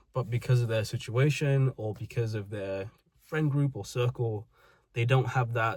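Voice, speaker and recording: At a moderate pace, a man with a British accent speaks in a somewhat breathy voice with fairly even intonation, in a very clean recording with a silent background. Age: 20s. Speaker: vlogger. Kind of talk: personal monologue.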